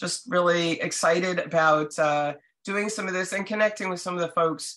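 A woman speaks with a fairly low pitch and an American accent. Her pitch variation is ordinary, and the background is quiet. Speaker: castle restorer and owner; guest. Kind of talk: guest presentation. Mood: friendly, enthusiastic. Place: home room. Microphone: video call.

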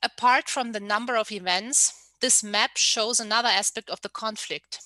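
In a dry recording with no echo and a quiet background, a woman talks at a fairly slow pace with a bright, sharp tone. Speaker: researcher; panelist. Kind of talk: lecture. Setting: video call.

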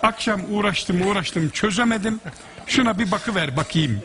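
A man with an Aegean accent at a fairly quick pace, light background noise behind him. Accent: Aegean Turkish dialect. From Aegean region of Turkey. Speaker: musician. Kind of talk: anecdote in conversation. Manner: humorous storytelling. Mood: amused, smiling. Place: stage. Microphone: headset.

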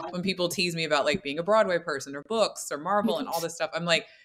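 Very fast speech from a woman with a fairly low pitch and ordinary pitch variation, over noticeable background noise. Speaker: podcast guest. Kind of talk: interview answer. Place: home room. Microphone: earbuds.

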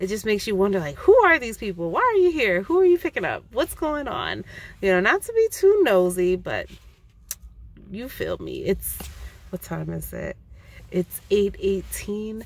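A woman speaks at a moderate pace with big swings in loudness, the sound dry with no echo. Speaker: vlogger. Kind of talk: casual vlog chat. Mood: amused, chatty, a bit wary. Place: car. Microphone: phone near.

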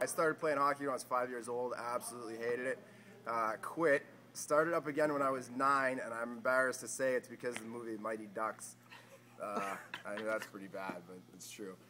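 At a fairly quick pace, a man speaks at a medium pitch with big swings in loudness. Noticeable background noise runs underneath. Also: ordinary pitch variation. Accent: Boston. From Boston area, US. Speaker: pro ice hockey player. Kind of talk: casual interview.

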